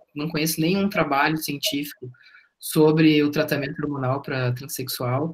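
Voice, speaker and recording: A normal speaking voice with ordinary pitch variation at a fairly slow pace. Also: man. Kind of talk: testimony.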